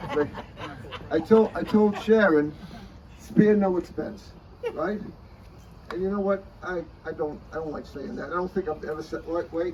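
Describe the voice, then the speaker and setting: A man's high-pitched voice with ordinary pitch variation, moderate pace, long, frequent pauses, big swings in loudness and noticeable background noise. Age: 80s+. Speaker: lawyer celebrating his birthday. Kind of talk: birthday speech. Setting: birthday luncheon with guests.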